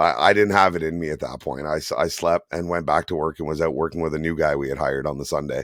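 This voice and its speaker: With a Canadian accent, a man speaks very fast in a very deep, low voice with vocal fry and fairly even intonation, on a very clean recording with a silent background. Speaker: tow truck operator and podcast co-host. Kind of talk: casual podcast chat. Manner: halting, many fillers.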